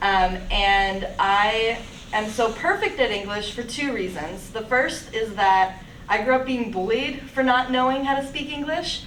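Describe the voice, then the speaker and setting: A woman with a fairly high pitch talks at a fairly slow pace with ordinary pitch variation, with audible room echo and noticeable background noise. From Pennsylvania (born in Russia, adopted at eight). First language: Russian. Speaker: AmeriCorps volunteer. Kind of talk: casual Q&A answer; presentation at a club meeting.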